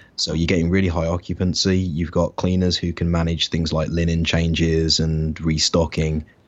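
A man with an English Midlands accent speaks in a very deep, low voice at a moderate pace. His loudness stays very even, his intonation is flat and monotone, and he hardly pauses. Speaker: online business entrepreneur. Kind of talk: interview. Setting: remote call.

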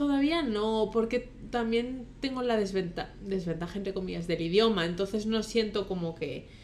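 Fairly high in pitch, this woman has an unremarkable speaking voice. She moves at a fairly slow pace with ordinary pitch variation. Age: 20s. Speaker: podcast co-host. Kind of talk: casual chat.

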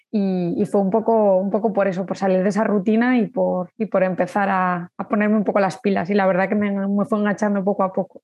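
Speaking at a fairly quick clip, a woman with a medium pitch keeps a flat, monotone delivery and very even loudness. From Spain, Zaragoza. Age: 30s. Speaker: amateur runner. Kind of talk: casual interview. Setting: in person. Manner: halting, repeating words.

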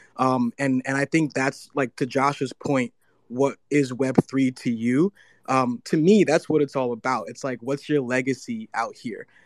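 At a fairly slow pace, a man with an unremarkable speaking voice talks at medium pitch with ordinary pitch variation. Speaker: audience speaker. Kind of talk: casual chat. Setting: Twitter space audio room.

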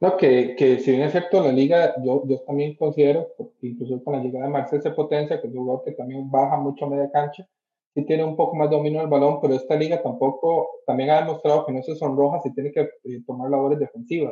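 A man's fairly high pitch at a very fast pace, with fairly even intonation. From Costa Rica. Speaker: football pundit. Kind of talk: casual chat.

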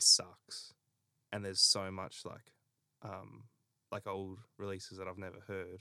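A man with an Australian accent talks at a very deep, low pitch in a bright, sharp tone and monotone, flat intonation. His fairly slow delivery has long, frequent pauses. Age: 20s. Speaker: podcast host. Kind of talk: casual chat.

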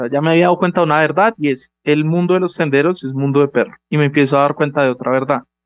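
Fairly quick in pace, a man speaks in a plain, everyday voice, fairly high in pitch with ordinary pitch variation. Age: young. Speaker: startup founder. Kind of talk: interview.

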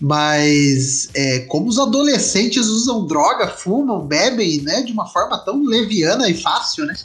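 Over music in the background and with audible room echo, a man with a high pitch speaks at a fairly slow pace with very wide pitch swings and hardly any pauses. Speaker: podcast host. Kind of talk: casual chat.

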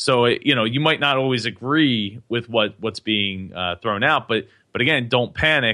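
Medium pitch from a man with an American accent, ordinary pitch variation and a moderate pace. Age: 20s. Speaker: podcaster and web developer. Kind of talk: interview. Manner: halting, many repetitions and fillers.

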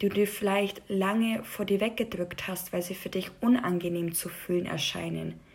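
Somewhat breathy, a woman talks very slowly at a medium pitch with fairly even intonation. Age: 20s. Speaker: podcast host. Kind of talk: personal monologue.

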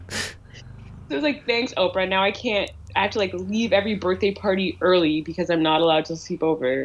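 A woman speaks at a fairly quick pace with a Canadian accent, in a fairly low pitch with ordinary pitch variation. Hers is a plain, everyday voice. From Canada, Ottawa. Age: 20s. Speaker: writer. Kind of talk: casual chat.

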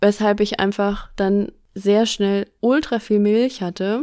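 An ordinary speaking voice from a woman, medium in pitch, with fairly even intonation and a very clean recording over a silent background. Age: 30s. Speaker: podcast host. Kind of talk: casual chat.

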